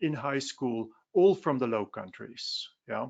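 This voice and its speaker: A man with a Dutch accent, fairly slow in pace and lively in intonation. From Belgium, Flanders. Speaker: philosophy professor. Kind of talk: webinar presentation. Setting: online webinar. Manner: conversational with frequent fillers.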